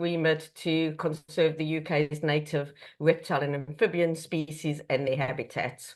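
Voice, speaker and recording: Against a quiet background, a woman with a South African accent speaks at a fairly low pitch. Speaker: conservation charity chief executive. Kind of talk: online presentation. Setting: video call.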